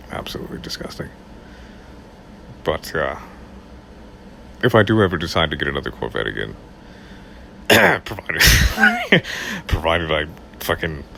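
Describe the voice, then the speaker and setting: With a very deep, low pitch, a man speaks in very wide pitch swings. Long, frequent pauses and noticeable background noise run through the clip. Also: moderate pace. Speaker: audiobook narrator. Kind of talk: casual talk to camera.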